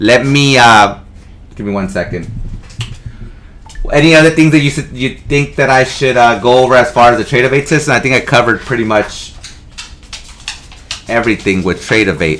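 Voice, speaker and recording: Amid noticeable background noise, a man speaks at a fairly quick pace with long, frequent pauses. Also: medium pitch for a man, ordinary pitch variation. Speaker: trading instructor. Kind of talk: tutorial. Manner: fast.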